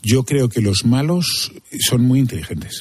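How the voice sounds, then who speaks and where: The voice has a somewhat breathy edge. This man's tone is dark and mellow. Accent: Castilian. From Spain. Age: 50s. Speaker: crime journalist. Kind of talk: interview.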